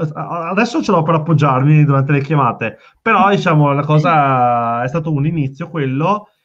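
A man with a Veneto accent, fairly high pitch and ordinary pitch variation, at a moderate pace with very even loudness over a quiet background. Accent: Veneto Italian. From Veneto, Italy. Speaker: startup founder. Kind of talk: casual interview chat.

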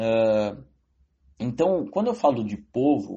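A man is speaking. His pitch swings very widely. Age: young. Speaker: economics student. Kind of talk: interview. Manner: halting.

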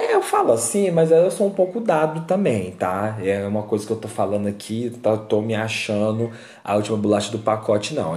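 Talking at a fairly quick pace, a man uses lively intonation and a medium pitch, his tone dark, mellow and somewhat breathy. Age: 20s. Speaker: podcast host. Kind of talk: casual monologue. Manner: animated.

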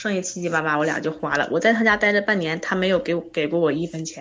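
Racing at a very fast pace, a woman speaks in a fairly low pitch with ordinary pitch variation. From Northeast China, Harbin. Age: 30s. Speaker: caller seeking relationship advice. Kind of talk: phone-in advice call. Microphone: wearing earphones, somewhat quiet.

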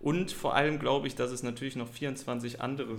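There is vocal fry in this man's voice as he talks at a moderate pace with fairly even intonation, and audible room echo. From western Germany, Krefeld. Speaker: podcast guest. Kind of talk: casual chat.

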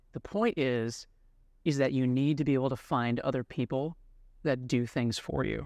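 A man talks at a moderate pace and medium pitch. He has an ordinary speaking voice. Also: ordinary pitch variation. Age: 30s. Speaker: realtor. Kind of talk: podcast interview.

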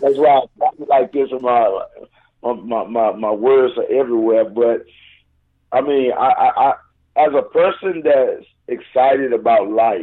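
Very slow and very even in loudness, a man's speech is broken by long, frequent pauses. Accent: Southern US. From Houston, Texas area. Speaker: radio show guest, recording artist.

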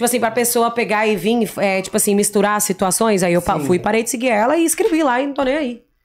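A woman with a fairly high voice talks very fast, her intonation lively and her speech running on with hardly any pauses. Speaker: influencer, former reality show contestant. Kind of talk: casual chat. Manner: spontaneous.

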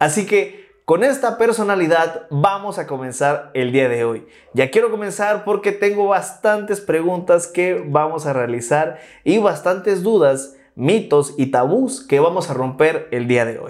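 Here a man speaks in a high pitch at a fairly slow pace. His pitch swings very widely. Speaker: podcast host. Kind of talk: interview.

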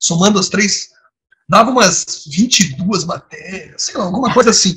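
This man has a bright, sharp tone, speaking at a moderate pace with ordinary pitch variation. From Brazil, Nova Friburgo (Rio de Janeiro state). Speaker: diplomat. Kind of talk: interview.

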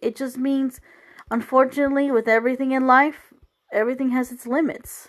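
Loudness swings widely as a woman with a high pitch speaks in fairly even intonation. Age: 30s. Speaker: podcast host. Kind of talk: solo monologue. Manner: rambling, conversational.

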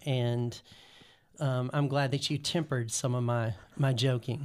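With an American accent and fairly even intonation, an unremarkable speaking voice proceeds at a moderate pace. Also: man. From US South, North Carolina (Guilford County). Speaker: pastor. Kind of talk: casual chat.

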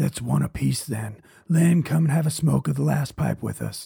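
At a moderate pace, the speaker uses a raspy, put-on character voice. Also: man, medium pitch for a man. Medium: read story. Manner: blunt, short.

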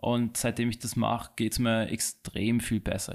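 Here is a man with an unremarkable speaking voice at a medium pitch and a moderate pace. The recording is very clean, with a silent background. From Hong Kong, then Austria from 2000. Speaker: watch and bracelet businessman. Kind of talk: interview. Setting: studio.

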